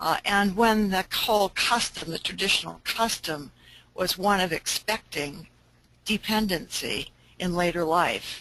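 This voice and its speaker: A woman at a medium pitch, bright and sharp in tone, at a fairly slow pace with ordinary pitch variation. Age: 80s+. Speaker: aging researcher and program presenter. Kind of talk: webinar presentation. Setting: webinar. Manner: halting, many fillers and restarts.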